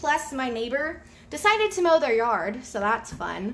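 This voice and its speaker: In a room with audible echo, a woman speaks with a slight Southern US accent and lively intonation. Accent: slight Southern twang. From US South, North Georgia. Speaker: craft tutorial creator. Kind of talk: live tutorial. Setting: home craft room, live video. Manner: fast; casual, chatty.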